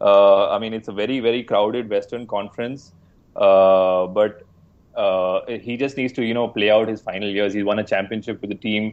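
A man with an Indian accent at a fairly quick pace. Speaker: basketball podcast co-host. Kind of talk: casual sports discussion.

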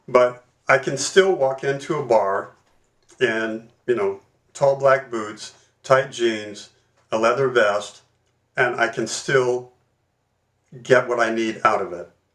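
At a very slow pace with long, frequent pauses, a man with an American accent speaks at a medium pitch with ordinary pitch variation. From Louisiana, US South. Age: 70s. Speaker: leather community educator. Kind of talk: casual interview.

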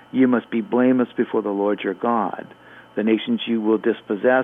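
The speech runs at a very fast pace. Its intonation is fairly even. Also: man. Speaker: professor, Bible apologist. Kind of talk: live radio call-in show. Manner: fast talker.

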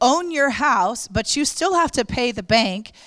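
A woman speaks with very wide pitch swings. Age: young. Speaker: pastor. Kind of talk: sermon.

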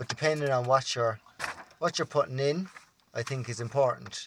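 With a Cork accent, a man speaks at medium pitch with ordinary pitch variation. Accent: Cork Irish. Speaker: podcast co-host. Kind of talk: casual chat.

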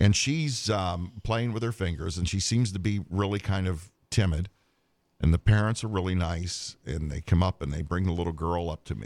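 Recorded very cleanly against a silent background, a man with an American accent talks at a moderate pace in a very deep, low pitch with ordinary pitch variation. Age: 60s. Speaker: co-host, part-time Santa Claus. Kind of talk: casual chat.

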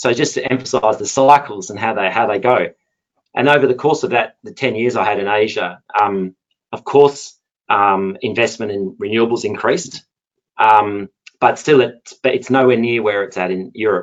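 A man talks at a moderate pace, medium in pitch, with ordinary pitch variation. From Perth, Australia. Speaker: energy lawyer. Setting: online webinar.

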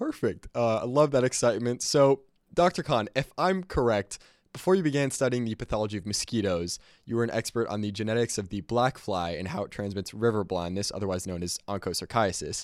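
With an ordinary speaking voice at medium pitch, a man talks at a fairly quick pace with lively intonation, the sound dry and close with no echo in a very clean recording with a silent background. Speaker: student podcast host. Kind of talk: casual interview.

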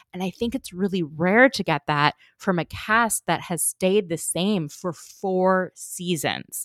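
A woman speaks at a moderate pace in a normal speaking voice. The sound is dry and close, with no echo. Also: very clean recording, silent background. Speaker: podcaster and reality TV fan. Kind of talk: casual chat.

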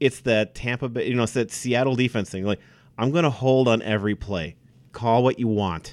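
In a plain, everyday voice, a man with an American accent talks at a fairly quick pace with medium pitch and ordinary pitch variation, on a very clean recording with a silent background. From Wisconsin. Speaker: sports podcast host. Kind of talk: casual chat.

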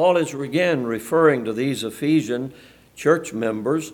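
This man has a fairly high pitch and speaks with a Southern US accent. His intonation is lively. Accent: US South. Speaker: preacher. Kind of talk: sermon. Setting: church.

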